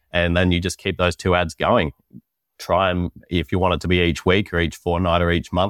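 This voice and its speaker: A man with a very deep, low pitch speaks at a fairly quick pace. His intonation stays monotone and flat. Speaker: marketing agency founder. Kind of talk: podcast interview.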